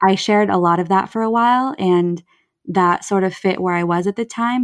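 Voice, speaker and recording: A woman with a normal speaking voice talks at a moderate pace and medium pitch, with fairly even intonation. The recording is very clean with a silent background, and the sound is dry and close with no echo. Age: 30s. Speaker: therapist. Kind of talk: casual chat.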